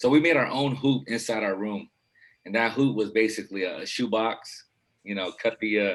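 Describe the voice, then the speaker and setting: Speaking at a moderate pace, a man uses an unremarkable speaking voice at medium pitch with ordinary pitch variation. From Philippines, raised in Los Angeles from age 8. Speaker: basketball coach. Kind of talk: casual interview chat.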